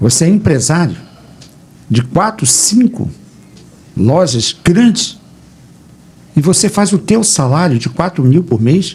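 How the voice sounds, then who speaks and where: Against noticeable background noise, a man with a high pitch speaks with very wide pitch swings. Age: 70s. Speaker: pastor. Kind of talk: radio debate. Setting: radio studio.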